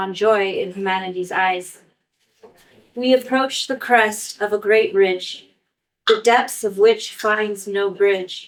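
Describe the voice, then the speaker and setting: A woman talks in a medium pitch at a fairly slow pace. Her intonation stays monotone and flat. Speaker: poet. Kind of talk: live poetry reading. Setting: live event, audience.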